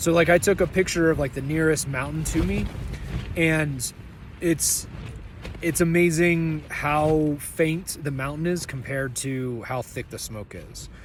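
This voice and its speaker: Over noticeable background noise, a man with a fairly high voice speaks at a fairly slow pace, with ordinary pitch variation and big swings in loudness. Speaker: thru-hiker vlogger. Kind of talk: video diary. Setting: in a tent outdoors. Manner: casual, filler-heavy.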